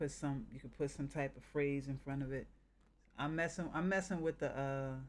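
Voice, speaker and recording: A man with an American accent has an unremarkable speaking voice at a fairly high pitch. He talks at a moderate pace with fairly even intonation. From northern US. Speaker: game streamer. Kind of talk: casual chat.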